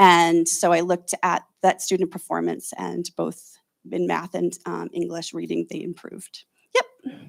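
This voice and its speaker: The woman's voice comes through with a dry, close sound and no echo, in a very clean recording with a silent background. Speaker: school district data analyst. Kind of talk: report to school board. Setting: school board meeting. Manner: halting, many fillers.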